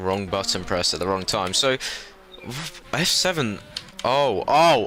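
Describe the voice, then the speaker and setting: A man with a fairly low pitch and lively intonation speaks over noticeable background noise. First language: not German (English speaker). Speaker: sim racing commentator. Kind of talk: live commentary.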